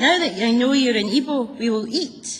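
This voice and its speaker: A woman's high-pitched put-on character voice at a moderate pace. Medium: read story. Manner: emphatic, growing louder, proud.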